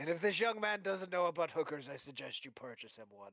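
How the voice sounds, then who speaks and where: Using a put-on character voice, a man speaks very fast in a high, raspy voice. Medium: actual play. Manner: jovial, old-fashioned turns of phrase.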